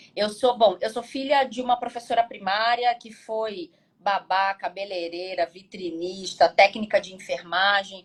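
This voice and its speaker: A woman's medium-pitched voice at a fairly slow pace, with ordinary pitch variation, big swings in loudness and hardly any pauses. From Brazil, Rio de Janeiro state (carioca). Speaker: business advisor and researcher. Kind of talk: casual interview on live stream. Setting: Instagram live.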